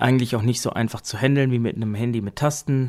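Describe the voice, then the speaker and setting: At a very fast pace, a man delivers his words at a medium pitch with fairly even intonation. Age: 30s. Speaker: podcast host reviewing assistive tech. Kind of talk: casual tech review podcast.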